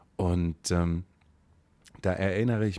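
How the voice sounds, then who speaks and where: A man's very deep, low voice has a dark, mellow tone and fairly even intonation, captured on a very clean recording with a silent background. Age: 30s. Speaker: podcast host. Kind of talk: reading aloud own writing; casual solo podcast monologue.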